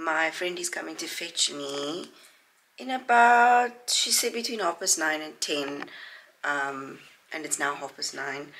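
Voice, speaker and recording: The voice has a bright, sharp tone and very wide pitch swings. It moves at a fairly slow pace over light background noise. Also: woman, fairly low pitch for a woman. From South Africa. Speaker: vlogger. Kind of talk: casual vlog chat. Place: home room. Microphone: phone near.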